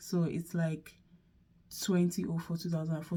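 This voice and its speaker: Somewhat breathy and dark, mellow in tone, a woman talks at a fairly low pitch and a fairly quick pace. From Nigeria. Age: 20s. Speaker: vlogger. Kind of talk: casual chat.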